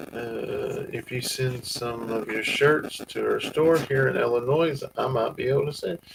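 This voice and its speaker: A man talks with a Southern US accent. His pace is fairly slow. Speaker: farm channel host. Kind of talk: livestream chat.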